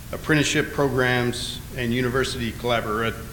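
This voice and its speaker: Over noticeable background noise and audible room echo, a man talks with an American accent. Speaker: navy admiral. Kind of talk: conference speech. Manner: hesitant, many filler words.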